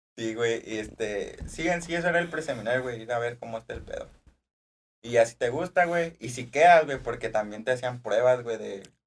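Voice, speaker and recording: At a moderate pace, a man with a plain, everyday voice and medium pitch talks with ordinary pitch variation and big swings in loudness. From Durango, Mexico (rural Cuencamé). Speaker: podcast co-host and seminary former student. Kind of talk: casual chat.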